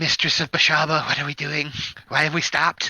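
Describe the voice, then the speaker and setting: In a put-on character voice, a man sounds squeaky at a fairly high pitch. He goes at a fairly quick pace. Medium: actual play. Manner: nervous, squeaky.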